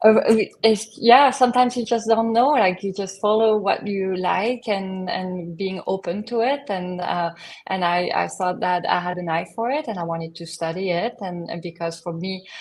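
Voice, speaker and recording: With a French accent, a woman speaks at a medium pitch in a very clean recording with a silent background. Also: ordinary pitch variation, moderate pace. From southern France. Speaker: image consultant. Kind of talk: podcast interview. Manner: hesitant, many fillers.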